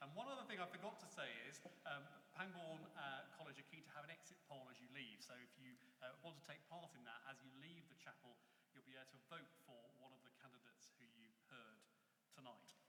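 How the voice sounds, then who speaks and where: Speaking at a fairly quick pace, a man with a fairly high voice shows ordinary pitch variation and big swings in loudness amid audible room echo. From Reading area, Berkshire, England. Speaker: debate moderator. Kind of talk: moderating a public debate. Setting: chapel with live audience.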